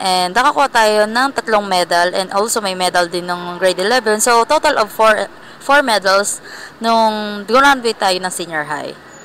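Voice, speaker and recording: Fairly slow speech from a woman, fairly high in pitch, with ordinary pitch variation. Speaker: vlogger. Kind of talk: casual vlog. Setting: indoor mall. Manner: soft-spoken.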